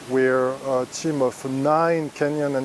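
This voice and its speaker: A man speaks with a French accent over noticeable background noise. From France. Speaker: EU staff member. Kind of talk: recorded video testimony. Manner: hesitant.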